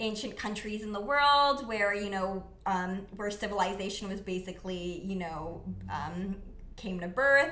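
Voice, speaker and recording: With a Canadian accent, a woman speaks at a fairly slow pace in a medium pitch with ordinary variation, amid noticeable background noise and audible room echo. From Canada, Mississauga, Ontario. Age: 20s. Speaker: non-profit founder. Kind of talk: casual interview. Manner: casual, many fillers.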